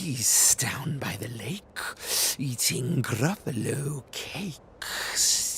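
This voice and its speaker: A man whispering very slowly in a put-on character voice, with clear background noise. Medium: read story.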